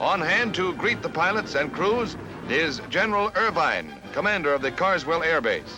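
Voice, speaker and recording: Over music in the background, a man with a high pitch speaks at a very even loudness. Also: ordinary pitch variation, moderate pace. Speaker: newsreel narrator. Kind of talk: newsreel narration.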